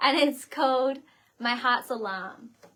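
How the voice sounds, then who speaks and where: Speaking at a moderate pace, a woman has an Australian accent. Her pitch is high. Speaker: singer-songwriter hosting livestream. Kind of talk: casual livestream chat. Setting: bedroom set livestream.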